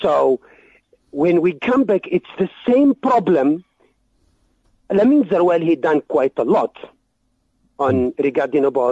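A man's dark, mellow tone, fairly high in pitch, with lively intonation at a fairly slow pace, in a dry, close sound with no echo. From Algeria. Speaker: guest. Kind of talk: radio interview. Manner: halting.

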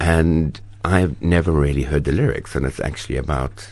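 A man moves at a fairly quick pace while noticeable background noise carries on beneath him. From South Africa, Cape Town. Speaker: actor. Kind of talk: interview. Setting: radio studio.

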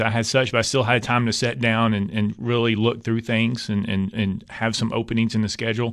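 A man with an East Tennessee accent speaks at a fairly quick pace and a medium pitch against a quiet background. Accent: East Tennessee Southern US. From East Tennessee (Knoxville). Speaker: state politician. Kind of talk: radio interview.

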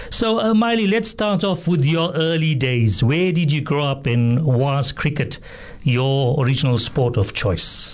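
A man with a fairly high pitch speaks slowly, with lively intonation and very even loudness. Noticeable background noise runs behind him. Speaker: radio sports presenter. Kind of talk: radio host news and interview. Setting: radio studio.

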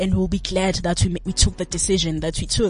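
Somewhat breathy, a woman speaks at medium pitch and a moderate pace. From Johannesburg, South Africa. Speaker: guest. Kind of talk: casual radio interview.

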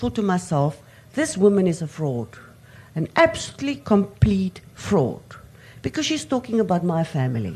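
Speaking at a medium pitch, the woman has a somewhat breathy voice. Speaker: audience member asking a question. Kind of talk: audience question. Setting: stage with audience.

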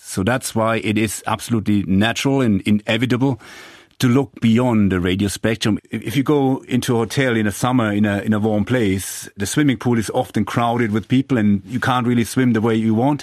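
A man with a German accent, medium pitch, fairly quick pace, fairly even intonation and very even loudness over a quiet background. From Germany, Franconia (northern Bavaria). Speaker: engineering professor. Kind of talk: interview. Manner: halting, frequent repetitions.

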